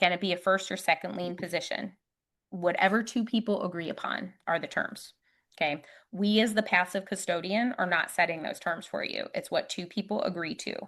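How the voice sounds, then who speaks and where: A woman's medium-pitched voice at a fairly quick pace, with ordinary pitch variation and a quiet background. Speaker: retirement account investing expert. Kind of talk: presentation at a meetup. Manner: fast; animated.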